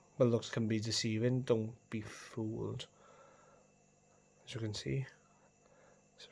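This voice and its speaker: With a Welsh accent, a man talks at a fairly slow pace. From Wales. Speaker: coin collector video host. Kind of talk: casual show-and-tell video. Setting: at home, on the carpet.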